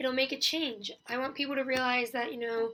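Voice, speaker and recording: On a very clean recording with a silent background, a woman speaks loudly at a high pitch with fairly even intonation. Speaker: university student. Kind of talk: class assignment presentation. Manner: hesitant, many fillers.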